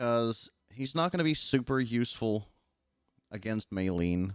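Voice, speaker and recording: Quiet and relaxed in tone, a man speaks in a dry, close sound with no echo. The recording is very clean, with a silent background. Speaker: gaming streamer. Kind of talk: livestream gameplay chat. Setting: livestream. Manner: not loud or yelling.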